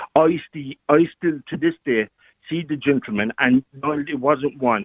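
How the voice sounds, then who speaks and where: This man's strained voice has lively intonation and moves at a moderate pace. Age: 40s. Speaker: caller. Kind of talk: phone-in call, personal testimony. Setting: phone call. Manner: emotional, strained.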